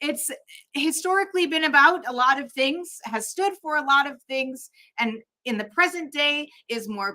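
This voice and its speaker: A woman speaks at a moderate pace in a high, bright, sharp voice. She raises and projects it. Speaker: drag artist and chaplain. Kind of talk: conference talk.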